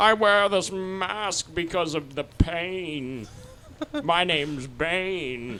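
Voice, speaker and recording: A man's put-on character voice, high in pitch and very slow, over clear background noise. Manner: mocking, exaggerated.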